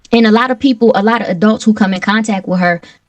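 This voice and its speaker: The speaker is a woman with an American accent. Her voice sounds somewhat breathy. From Milwaukee, Wisconsin. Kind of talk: interview.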